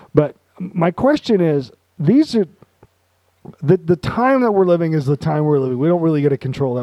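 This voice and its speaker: A man with a fairly high pitch and a dark, mellow tone talks at a fairly quick pace with lively intonation and long, frequent pauses, in a dry, close sound with no echo. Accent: American. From Utah. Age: 40s. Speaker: podcast host. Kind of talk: casual chat.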